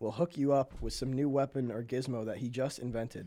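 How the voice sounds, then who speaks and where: In a very clean recording against a silent background, a man speaks at medium pitch and a fairly quick pace. He has a normal speaking voice with ordinary pitch variation. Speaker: podcast host. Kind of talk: casual banter between friends. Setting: studio.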